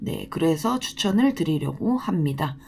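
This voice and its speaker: A woman's dark, mellow, somewhat breathy voice swings very widely in pitch. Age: 30s. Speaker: designated driver and translator. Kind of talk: casual talk to camera.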